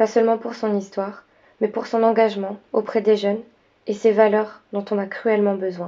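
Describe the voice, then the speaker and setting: A woman speaks at a moderate pace in a fairly high pitch. Her intonation is monotone and flat. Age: 20s. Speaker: student filmmaker. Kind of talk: scripted narration.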